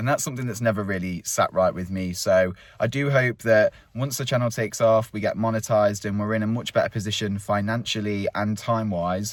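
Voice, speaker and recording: A man's fairly low-pitched voice with an English accent. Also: fairly even intonation, fairly quick pace. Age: 30s. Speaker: vlogger. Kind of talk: casual chat. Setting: outdoors.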